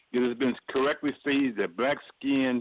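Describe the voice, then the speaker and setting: A man with a plain, everyday voice speaks at medium pitch. His pace is moderate and his pitch variation ordinary. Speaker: socialist activist, political panelist. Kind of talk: political panel discussion.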